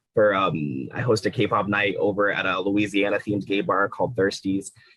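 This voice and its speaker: A man with a fairly low pitch speaks at a moderate pace in a plain, everyday voice, his pitch varying in an ordinary way. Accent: American. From Central Virginia. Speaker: astrologer and K-pop event host. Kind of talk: casual podcast chat.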